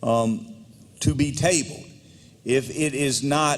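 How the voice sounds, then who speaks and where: With an American accent, a man speaks with ordinary pitch variation. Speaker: legislative speaker presiding. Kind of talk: parliamentary procedure. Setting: legislative chamber. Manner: slow; formal.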